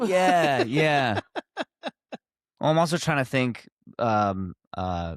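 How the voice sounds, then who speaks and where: Speaking very slowly with an American accent, a man at a medium pitch makes very wide pitch swings and leaves long, frequent pauses, on a very clean recording with a silent background. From South Jersey, US. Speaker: singer-songwriter and producer. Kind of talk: podcast interview.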